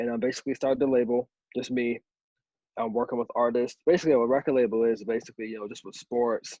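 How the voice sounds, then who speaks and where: A man with an American accent talks at a very fast pace and medium pitch. His intonation is fairly even, while his loudness swings widely. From US, Maryland (Berlin, Eastern Shore). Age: 20s. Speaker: music and advertising entrepreneur. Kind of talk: podcast interview. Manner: many fillers and restarts.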